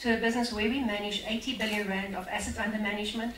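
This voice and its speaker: There is audible room echo and light background noise. A woman speaks in a fairly high pitch with fairly even intonation. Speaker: investment company representative; event host introducing speaker. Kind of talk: speaker introduction. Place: hall. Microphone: amateur recording by an attendee, poor sound; camera far.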